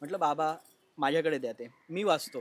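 Pitched fairly high, a man speaks in an ordinary speaking voice with ordinary pitch variation. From Maharashtra, Ambarnath. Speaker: actor. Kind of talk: casual interview chat. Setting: at his family home.

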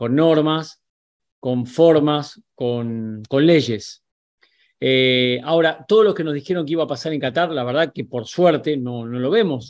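Against a quiet background, a man with a fairly high pitch talks at a fairly slow pace with ordinary pitch variation. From Argentina. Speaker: sports journalist. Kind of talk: video commentary to camera; commentary. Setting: on location in Qatar. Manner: animated.

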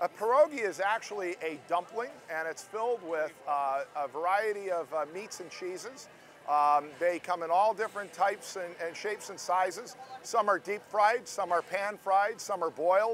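The sound is dry with no echo, and light background noise sits beneath it. A man speaks at a high pitch and a moderate pace with ordinary pitch variation. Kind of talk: interview answer. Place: street. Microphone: lapel.

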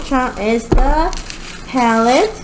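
Noticeable background noise sits behind a woman whose voice is high-pitched. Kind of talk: casual vlog chat. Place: home room. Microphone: webcam.

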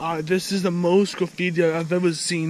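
Against noticeable background noise, a man speaks at a moderate pace in a high pitch with monotone, flat intonation, the sound dry with no echo. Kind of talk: casual vlog chat. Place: forest. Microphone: phone near.

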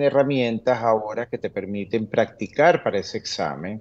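The man's delivery moves at a fairly slow pace. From Venezuela. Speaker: immigration lawyer. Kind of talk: interview Q&A, informative. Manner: hesitant, many fillers (eh, este). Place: home room. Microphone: webcam.

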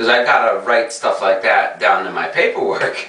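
Moderate-paced speech from a man, plus audible room echo. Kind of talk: casual vlog chat. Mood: amused, storytelling. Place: bathroom. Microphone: camera far.

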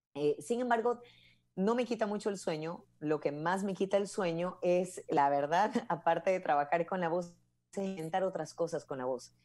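A woman with a fairly low pitch, ordinary pitch variation and a moderate pace. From Ecuador. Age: 40s. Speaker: commercial voice-over artist and announcer; guest. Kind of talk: interview conversation. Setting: live video call. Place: home room. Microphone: earbuds.

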